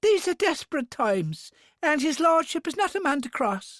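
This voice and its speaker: A squeaky, high-pitched put-on character voice delivered at a moderate pace. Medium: read story. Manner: stammering, nervous.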